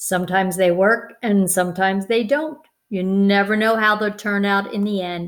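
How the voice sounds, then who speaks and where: Using a put-on character voice, a woman speaks at a medium pitch and a moderate pace on a very clean recording with a silent background. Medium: read story.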